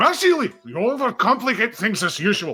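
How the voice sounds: Putting on a character voice, a man speaks at a moderate pace in an extremely high pitch with very wide pitch swings, sounding gruff and husky over faint background music.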